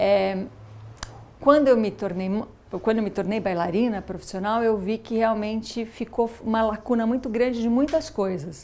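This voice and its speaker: This woman has a fairly high pitch. Her tone is dark and mellow. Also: ordinary pitch variation, moderate pace. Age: 40s. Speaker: former professional dancer and mother. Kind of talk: documentary interview. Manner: halting, many false starts.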